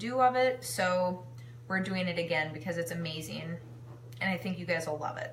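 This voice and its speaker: Amid noticeable background noise and audible room echo, a woman with fairly low pitch speaks at a moderate pace. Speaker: home cooking live streamer and kitchenware consultant. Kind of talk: casual live-stream cooking demo.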